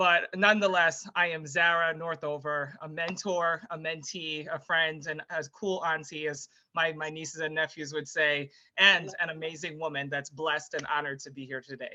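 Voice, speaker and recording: This woman's voice is very deep and low in pitch, with a bright, sharp tone. Her intonation is fairly even, though her loudness swings widely. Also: moderate pace. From Jamaica. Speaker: former Olympic athlete and public speaker. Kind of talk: interview.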